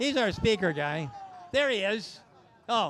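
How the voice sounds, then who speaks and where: A loud, very slow man's voice pitched high. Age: 70s. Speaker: automotive reviewer at a live event. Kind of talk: live event walkaround. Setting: outdoor event with crowd and PA speakers. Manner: casual.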